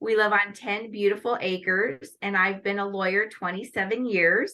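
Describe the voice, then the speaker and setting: With a US Midwestern accent, a woman talks at a moderate pace in a medium pitch, her bright, sharp tone carried by fairly even intonation. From Northwest Iowa, US Midwest. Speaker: lawyer and pageant titleholder. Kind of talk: interview.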